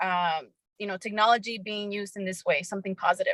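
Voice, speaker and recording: Flat and monotone, a woman's voice sounds dry and close with no echo. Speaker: startup co-founder, former TV reporter. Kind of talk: panel discussion.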